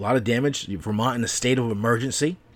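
A man with an unremarkable speaking voice talks fairly quickly at a medium pitch, showing ordinary pitch variation. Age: 40s. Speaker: podcast host. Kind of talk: solo podcast monologue. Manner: casual, profane rant.

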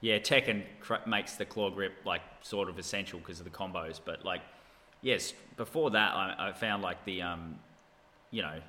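Here is a man with an Australian accent. His pitch is fairly low, with ordinary variation. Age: 30s. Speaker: gamer. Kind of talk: casual chat.

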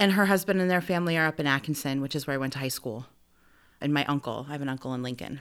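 A woman with a US Midwestern accent, very deep and low in pitch, at a very fast pace with very wide pitch swings, on a very clean recording with a silent background. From Nebraska, US Midwest. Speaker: theater director and actor. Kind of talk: interview conversation.

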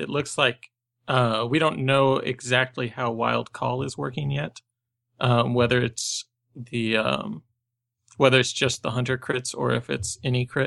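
The voice has a bright, sharp tone and a moderate pace, with dry, close sound free of echo and a quiet background. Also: man. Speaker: podcast co-host. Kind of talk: casual chat. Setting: video call.

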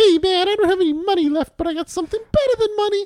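A put-on character voice pitched extremely high. It races along at a very fast pace.

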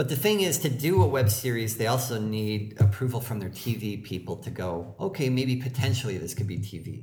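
A man at a fairly quick pace with ordinary pitch variation, in audible room echo. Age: 40s. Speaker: comedy writer and actor. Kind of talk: casual chat.

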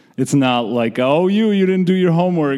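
A man with a Georgian accent and lively intonation. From Republic of Georgia. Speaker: storyteller. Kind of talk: storytelling on stage. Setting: stage with audience.

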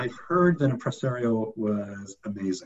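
The man's voice sits at medium pitch and sounds somewhat breathy. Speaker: podcast host. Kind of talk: casual interview.

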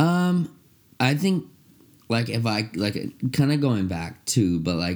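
Over a silent background in a very clean recording, a man talks at a fairly slow pace. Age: 40s. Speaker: podcast co-host. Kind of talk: casual chat. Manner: halting, many fillers.

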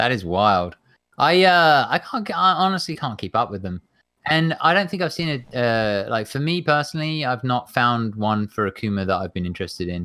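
With an English accent, a man speaks at a moderate pace and medium pitch, his bright, sharp tone making very wide pitch swings on a very clean recording with a silent background. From England. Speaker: fighting game player and streamer. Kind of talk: casual chat. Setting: live stream, own home.

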